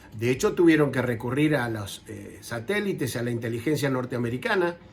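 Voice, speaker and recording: Over noticeable background noise, a man speaks at a fairly quick pace and medium pitch with ordinary pitch variation. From Argentina. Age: 60s. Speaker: war veteran. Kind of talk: interview.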